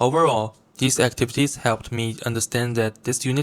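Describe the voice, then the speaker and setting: With a Chinese accent, a man speaks at a moderate pace and medium pitch in a monotone, flat intonation, the sound dry and close with no echo and the recording very clean with a silent background. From China. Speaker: university student. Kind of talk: reflective video presentation. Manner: formal.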